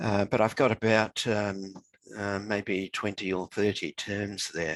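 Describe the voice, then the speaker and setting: On a very clean, dry, close recording with a silent background and no echo, a man with a New Zealand accent speaks at a fairly slow pace and fairly low pitch in a monotone, flat intonation. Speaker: author. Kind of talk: interview conversation.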